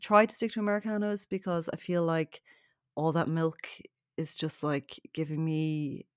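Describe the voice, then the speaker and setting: A woman with a Dublin accent speaks at a moderate pace and a fairly low pitch with lively intonation, recorded very cleanly against a silent background in a dry, close sound with no echo. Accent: Dublin Irish. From Ireland, south County Dublin. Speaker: novelist and journalist. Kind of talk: casual chat.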